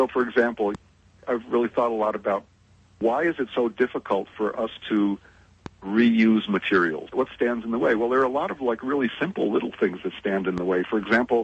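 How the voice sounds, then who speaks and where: A man's normal speaking voice, medium in pitch with ordinary variation, in an American accent at a fairly quick pace. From US, New England. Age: 60s. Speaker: interviewee on sustainability. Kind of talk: interview conversation.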